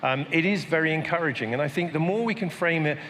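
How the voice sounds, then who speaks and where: A man with a British accent at a fairly quick pace, ordinary pitch variation, noticeable background noise and audible room echo. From Britain. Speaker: panel moderator. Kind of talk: panel discussion. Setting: stage with audience.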